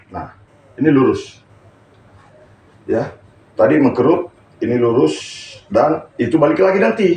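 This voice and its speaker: Long, frequent pauses break up a man's speech. Noticeable background noise runs underneath. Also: moderate pace. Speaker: stroke therapist. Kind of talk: live-streamed therapy tutorial. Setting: live stream during a hands-on therapy session.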